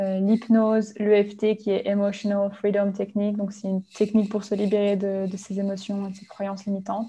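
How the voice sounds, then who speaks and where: A woman at a medium pitch speaks in a dark, mellow, somewhat breathy tone with flat, monotone intonation. Her pace is moderate with hardly any pauses, and her loudness swings widely. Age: 20s. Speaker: life coach. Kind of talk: interview.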